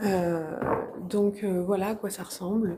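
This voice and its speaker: A soft-spoken woman at a medium pitch, with fairly even intonation. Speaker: medium and paranormal explorer. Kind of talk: live vlog exploration, addressing viewers. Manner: speaks softly out of fear; hesitant, many fillers and repetitions.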